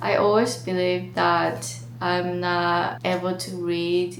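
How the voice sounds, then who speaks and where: A woman with a Japanese accent speaks at a fairly low pitch, with audible room echo. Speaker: vlogger. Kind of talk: casual vlog monologue.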